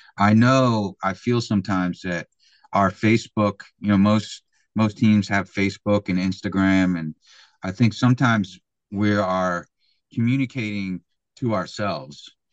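A man with a fairly low pitch speaks at a moderate pace with fairly even intonation, recorded dry and close with no echo against a quiet background. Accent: Philadelphia. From Philadelphia, US. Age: 50s. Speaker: American football coach. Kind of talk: podcast interview. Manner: hesitant, many fillers.

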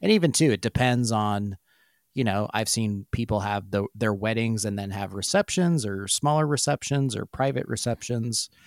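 Very cleanly recorded with a silent background and a dry, close sound with no echo, a man uses a plain, everyday voice at a medium pitch and moderate pace with ordinary pitch variation. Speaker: podcast co-host. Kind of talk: casual podcast discussion.

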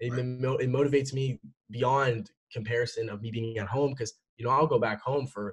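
Somewhat breathy male speech at a fairly quick pace, medium in pitch with fairly even intonation, dry and close with no echo. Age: young. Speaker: e-commerce entrepreneur. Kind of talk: interview. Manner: casual, many fillers.

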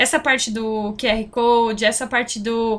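Monotone, flat delivery from a woman at a fairly high pitch. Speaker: podcast host. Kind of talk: casual interview.

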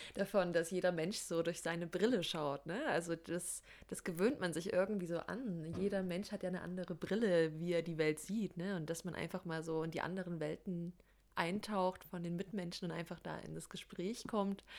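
A woman speaks in a plain, everyday voice with a fairly low pitch. Her intonation is fairly even and her pace moderate. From Saxony, Germany. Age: 20s. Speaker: podcast co-host, social work student. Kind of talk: casual chat.

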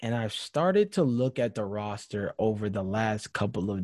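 A man talks at a moderate pace, his pitch fairly low with ordinary variation. The recording is very clean, with a silent background. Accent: American. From Georgia, US. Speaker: basketball podcast co-host. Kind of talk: casual chat. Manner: animated.

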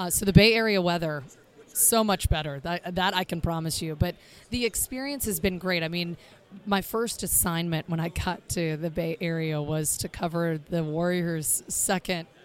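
A woman's fairly low voice in an American accent, moderate in pace with ordinary pitch variation. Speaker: sports broadcaster. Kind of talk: casual chat.

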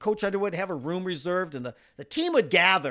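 An American accent is heard. The background is silent and the recording very clean. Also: man. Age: 60s. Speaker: podcast co-host, former college runner. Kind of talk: casual chat.

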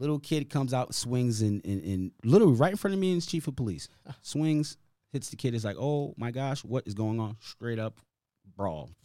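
Speaking at a moderate pace with an American accent, a man has a dark, mellow tone, medium pitch and lively intonation. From Hartford, Connecticut, US. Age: 40s. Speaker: community basketball league founder. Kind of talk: casual interview. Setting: podcast studio.

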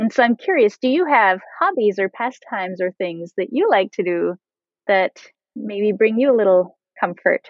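A woman uses an ordinary speaking voice. Her pitch sits fairly high, with lively intonation. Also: moderate pace. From French Canadian background. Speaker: podcast host. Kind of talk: casual interview chat.

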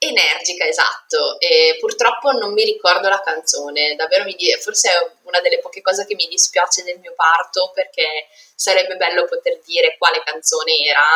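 Big swings in loudness from a woman at a moderate pace. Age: 30s. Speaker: pharmaceutical sales rep and mother. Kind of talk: personal testimony interview.

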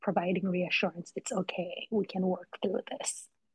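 With a slight Jamaican accent, a woman speaks at a medium pitch with fairly even intonation. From Jamaica (Kingston). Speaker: licensed counselor and mental health content creator. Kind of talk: expert interview conversation.

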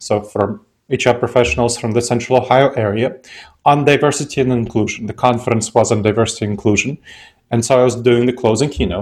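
The speaker has an Eastern European accent and talks at a very fast pace. The intonation stays fairly even. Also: man, medium pitch for a man. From Moldova. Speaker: author and behavioral scientist. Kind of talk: interview, explanatory.

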